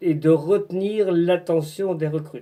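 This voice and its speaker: Very slowly, a man speaks in a high pitch with a dark, mellow tone and fairly even intonation. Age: 60s. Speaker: retired business owner, work-study recruitment advisor. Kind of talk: informational video address. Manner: halting, with hesitations.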